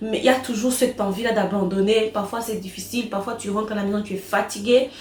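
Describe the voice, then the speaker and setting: Over noticeable background noise, a woman speaks very fast with a fairly high pitch. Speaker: vlogger and online business owner. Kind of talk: casual vlog Q&A. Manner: animated.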